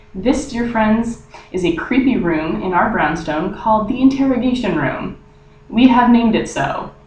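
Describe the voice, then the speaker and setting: A fairly high-pitched woman at a moderate pace with lively intonation, amid audible room echo and noticeable background noise. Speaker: vlogger. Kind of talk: casual vlog. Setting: small wooden room indoors. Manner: lowered voice.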